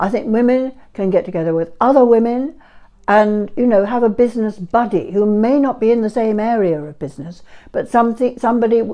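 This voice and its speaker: Her tone is dark and mellow. The woman speaks at a fairly quick pace. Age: 80s+. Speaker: entrepreneur and matchmaking expert. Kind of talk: interview answers.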